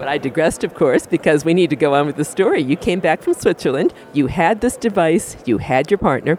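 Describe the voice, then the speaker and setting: A man's fairly high voice at a fairly quick pace, hardly any pauses, ordinary pitch variation, noticeable background noise. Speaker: podcast host. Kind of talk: interview intro and outro, radio-style.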